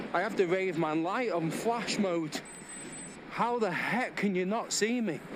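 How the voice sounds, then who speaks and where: With a Manchester accent, a man speaks at a high pitch with ordinary pitch variation, amid noticeable background noise and audible room echo. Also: fairly slow pace. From Manchester area, northern England. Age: 40s. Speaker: cycling vlogger. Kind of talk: casual vlog monologue while riding. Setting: outdoors on a bike ride.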